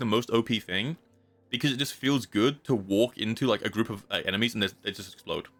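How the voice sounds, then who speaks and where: Lively intonation marks a man's medium-pitched voice as he talks at a very fast pace. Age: 20s. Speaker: video game streamer. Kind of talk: casual live-stream chat while gaming. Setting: live stream. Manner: animated.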